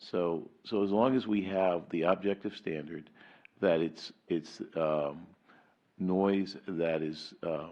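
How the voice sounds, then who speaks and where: A man talks at a very slow pace. His pitch is very deep and low, with ordinary variation. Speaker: city lawyer. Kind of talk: council meeting explanation. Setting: city council meeting. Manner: halting, repetitive.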